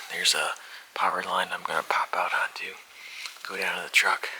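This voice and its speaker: A man whispers over noticeable background noise. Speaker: hunting video host. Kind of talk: in-field commentary. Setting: outdoors.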